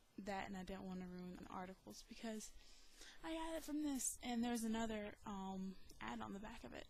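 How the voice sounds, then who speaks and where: Soft-spoken and at a moderate pace, a woman with a medium-pitched voice and an American accent talks with ordinary pitch variation in a room with audible echo. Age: 20s. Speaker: video blogger. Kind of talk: casual vlog. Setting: home recording. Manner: many ums and hesitations.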